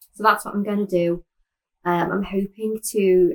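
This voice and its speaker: With a Liverpool accent, a woman speaks at medium pitch with ordinary pitch variation in a dry, close sound with no echo. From Liverpool, England. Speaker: knitting podcaster. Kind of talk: casual chat.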